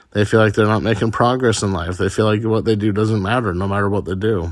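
This man has an ordinary speaking voice. His pitch is fairly low and his intonation fairly even. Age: 30s. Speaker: podcaster. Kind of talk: personal monologue.

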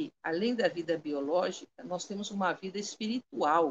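Speaking at a fairly slow pace, a woman lets her voice move in very wide pitch swings. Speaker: Candomblé priestess. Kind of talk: spiritual talk on a live stream. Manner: articulate, clear oratory.

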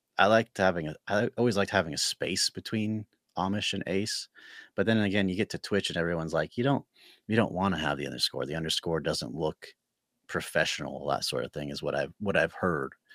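Heard in a very clean recording with a silent background and a dry, close sound with no echo, a man has a plain, everyday voice, fairly low in pitch, at a fairly quick pace. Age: 30s. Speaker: Twitch streamer and Lego fan. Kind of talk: casual chat.

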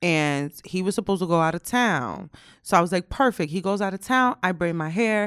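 Recorded with a dry, close sound and no echo, a normal speaking voice goes at a fairly quick pace with ordinary pitch variation. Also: woman, medium pitch for a woman. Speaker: podcast co-host. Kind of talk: casual chat. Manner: laughs often.

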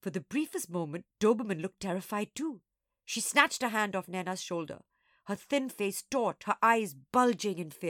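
The clip is plain reading aloud. No noise intrudes in the background.

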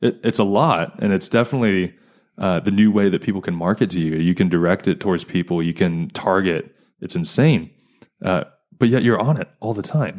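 Talking at a fairly quick pace, a man has an unremarkable speaking voice, a fairly low pitch and ordinary pitch variation. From US East Coast. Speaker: podcast host. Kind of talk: casual chat.

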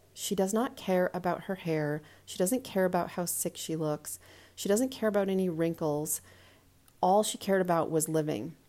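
Recorded very cleanly over a silent background, a woman of medium pitch speaks at a moderate pace in a dark, mellow tone with ordinary pitch variation. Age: 40s. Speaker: podcast host. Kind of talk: solo monologue. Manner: casual, conversational.

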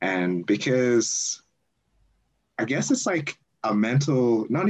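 With an Australian accent and lively intonation, a man speaks at a medium pitch against a quiet background. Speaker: university student. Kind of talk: casual interview.

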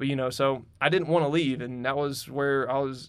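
A man talks at a very fast pace with a Southern US accent. His pitch is fairly high. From North Carolina, Huntersville area. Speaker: construction supervisor. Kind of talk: casual interview. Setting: studio.

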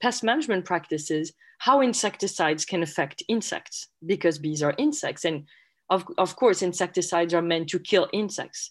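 Delivered in a French accent at a moderate pace, the speech has lively intonation and comes in a very clean recording with a silent background. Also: woman. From France. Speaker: entomology professor. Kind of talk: interview. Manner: halting.

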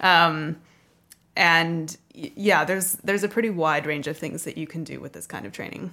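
A woman with a North American accent, a bright, sharp tone, vocal fry, fairly low pitch, ordinary pitch variation and a moderate pace. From US and Canada. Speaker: guest, graduate and dancer. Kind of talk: casual interview.

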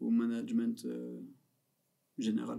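A man is speaking. His delivery is very slow. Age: 30s. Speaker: comedian. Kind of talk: casual chat.

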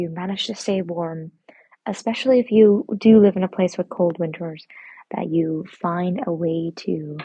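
A whisper at a moderate pace. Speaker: podcast host. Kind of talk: casual monologue. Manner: whispering; soft-spoken.

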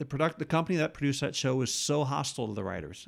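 With an American accent, a man speaks at a fairly high pitch with vocal fry. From New York state, about eighty miles north of the city. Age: 50s. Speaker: TV comedy writer. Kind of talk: casual interview chat. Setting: host's apartment.

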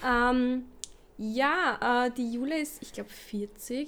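High in pitch, a woman talks with fairly even intonation. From Lower Austria. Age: 20s. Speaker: podcast co-host, kindergarten teacher. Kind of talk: casual chat.

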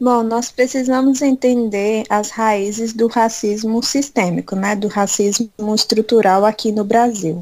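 A woman with an ordinary speaking voice talks at a fairly slow pace, hardly pausing at all. Her intonation is fairly even. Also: fairly high pitch for a woman. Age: 20s. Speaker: church youth leader. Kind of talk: interview.

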